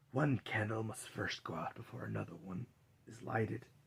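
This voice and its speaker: Putting on a character voice, a man at a medium pitch shifts widely in loudness. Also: moderate pace. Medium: read story. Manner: grave, menacing.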